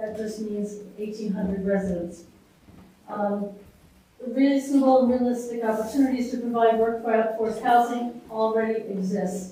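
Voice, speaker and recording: A woman with a fairly high pitch speaks at a moderate pace and with fairly even intonation, and audible room echo surrounds her voice. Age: 70s. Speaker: resident speaking at public hearing. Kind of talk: public comment at town meeting. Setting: public hearing.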